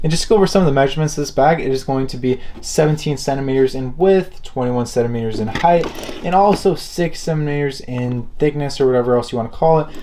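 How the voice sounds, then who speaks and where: Speaking very fast against noticeable background noise, a man uses a fairly high pitch with ordinary pitch variation. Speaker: luxury product reviewer. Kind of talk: product review. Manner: casual.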